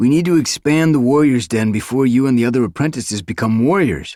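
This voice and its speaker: A man talks at a very fast pace in a put-on character voice, his pitch medium. His intonation is lively. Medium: read story. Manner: calm, measured.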